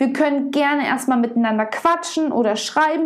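Noticeable background noise sits behind a woman whose high-pitched voice has lively intonation. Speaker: podcast host and body-image coach. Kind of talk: solo podcast monologue. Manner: emotional, heartfelt.

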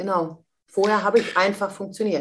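At a moderate pace, an unremarkable speaking voice delivers its words with fairly even intonation. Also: woman. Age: 50s. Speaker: mentor and speaker. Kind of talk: interview.

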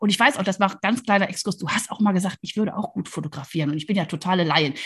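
Against a quiet background, a woman speaks in an animated tone at a medium pitch. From Rhineland, near Cologne, Germany. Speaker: podcast host, leadership coach. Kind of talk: casual interview.

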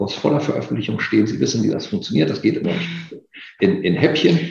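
A man speaks at medium pitch with very wide swings in his pitch. Noticeable background noise and audible room echo are in the recording. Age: 50s. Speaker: occupational safety expert. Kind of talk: interview.

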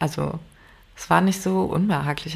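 In a Rhineland accent, a woman speaks at a fairly low pitch. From Rhineland, Germany. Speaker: podcast co-host. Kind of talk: casual chat.

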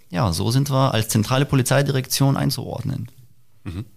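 With ordinary pitch variation, a man talks at a moderate pace and a medium pitch. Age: 30s. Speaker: police press officer. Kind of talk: interview. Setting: on location at police helicopter base.

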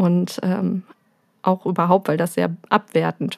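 Vocal fry runs through a woman's voice, captured in a dry, close sound with no echo. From Germany, Möhnesee area (Westphalia). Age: 30s. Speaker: young mother, visitor of a parent café. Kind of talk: casual interview.

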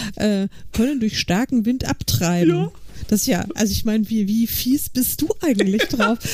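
Over noticeable background noise, a woman talks at a moderate pace with a fairly high pitch, ordinary pitch variation, and very even loudness. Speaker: podcast co-host. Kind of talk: casual chat.

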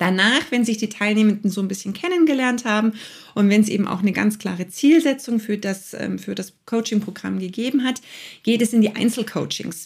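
A woman speaks at a fairly quick pace. Her fairly high voice is somewhat breathy. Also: ordinary pitch variation. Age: 40s. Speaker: coach and podcast host. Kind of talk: casual interview.

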